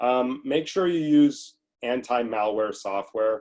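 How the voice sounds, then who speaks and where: A man speaks with an unremarkable speaking voice. His pitch is medium, with ordinary pitch variation. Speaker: family law attorney, seminar presenter. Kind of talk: legal webinar lecture.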